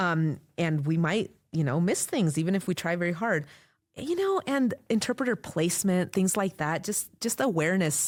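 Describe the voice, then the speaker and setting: The voice keeps a very even loudness in a very clean recording with a silent background. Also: woman, fairly low pitch for a woman. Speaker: court interpreter. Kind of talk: interview conversation. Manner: fast.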